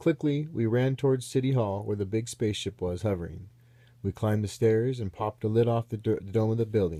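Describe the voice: The pitch changes to an ordinary degree during this plain reading aloud.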